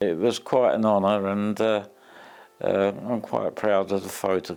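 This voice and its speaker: Speaking at a fairly slow pace, a man uses a fairly low pitch and monotone, flat intonation. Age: 80s+. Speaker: retired ambulance driver. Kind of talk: interview answer.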